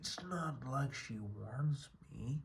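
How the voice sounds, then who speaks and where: Using a put-on character voice, the man pitches it at a medium level. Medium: read story. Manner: terse, subdued.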